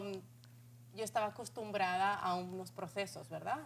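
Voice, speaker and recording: This woman speaks with lively intonation. Her pitch is medium. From Spain. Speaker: talk show host. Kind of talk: interview.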